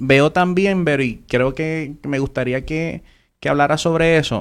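On a very clean recording with a silent background, a man with a normal speaking voice talks fairly slowly at a fairly high pitch, with ordinary pitch variation. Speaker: podcast host. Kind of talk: interview. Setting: live stream.

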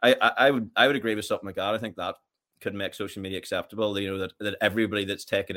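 Very fast speech from a man with a Northern Irish accent and a fairly low pitch. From Northern Ireland, County Armagh. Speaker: fitness coach. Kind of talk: casual chat.

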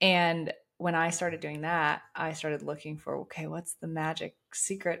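Recorded very cleanly against a silent background, a woman uses a plain, everyday voice with fairly low pitch and a moderate pace. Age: 20s. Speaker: fitness and nutrition coach. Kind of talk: casual chat.

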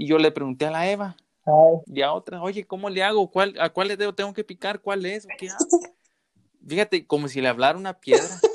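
With a dry, close sound and no echo, a man talks at a fairly quick pace in a high pitch with ordinary pitch variation. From southern Zacatecas, Mexico. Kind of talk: casual chat. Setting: remote call.

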